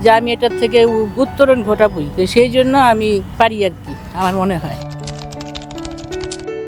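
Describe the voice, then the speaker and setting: Music plays in the background. Over it, a woman speaks in a fairly high pitch. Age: 70s. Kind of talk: street interview answer. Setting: outdoors.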